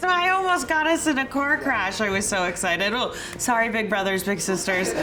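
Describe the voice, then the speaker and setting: With music playing behind her and an audible room echo, a woman speaks at a fairly quick pace in a fairly high voice, her pitch swinging very widely while her loudness stays very even. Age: 30s. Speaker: volunteer mentor, tech worker. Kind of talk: interview testimony.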